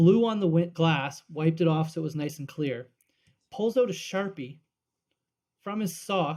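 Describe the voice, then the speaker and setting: Speaking at a fairly slow pace with a Canadian Maritime accent, a man uses a fairly high pitch and lively intonation. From Nova Scotia, Annapolis Valley. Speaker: sports podcast co-host. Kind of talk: casual chat.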